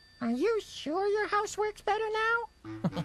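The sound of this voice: In a cartoonish character voice, the squeaky, extremely high-pitched speech moves at a fairly slow pace.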